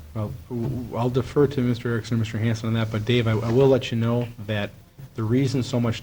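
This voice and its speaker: A man with a medium pitch and a dark, mellow tone, fairly quick pace, monotone, flat intonation, and audible room echo. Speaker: mayor chairing city council meeting. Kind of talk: public meeting proceedings. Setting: city council meeting. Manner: loud.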